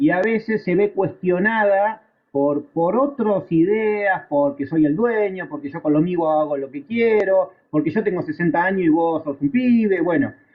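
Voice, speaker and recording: A man with an Argentine accent speaks at a high pitch and fairly slow pace, with ordinary pitch variation. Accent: Argentine Spanish (rioplatense voseo). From Argentina. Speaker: aviation instructor. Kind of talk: lecture. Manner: conversational, with frequent fillers and repetitions.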